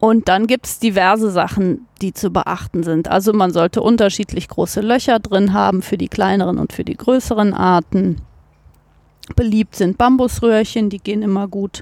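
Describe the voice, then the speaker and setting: An ordinary speaking voice with fairly even intonation comes at a moderate pace, in a dry, close sound with no echo on a very clean recording with a silent background. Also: woman, medium pitch for a woman. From Cologne, Germany. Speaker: biologist, nature garden manager. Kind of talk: interview. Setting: outdoors in a garden.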